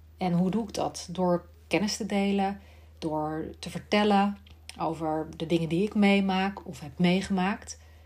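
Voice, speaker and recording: Somewhat breathy, a woman at a medium pitch speaks at a fairly slow pace with big swings in loudness. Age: 40s. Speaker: speech therapist and podcast host. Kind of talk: solo monologue podcast.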